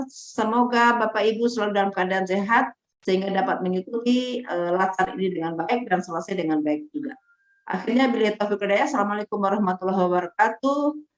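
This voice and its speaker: A woman races along at a very fast pace, her medium-pitched voice showing ordinary pitch variation. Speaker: training facilitator. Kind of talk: online training lecture. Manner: stern, forceful.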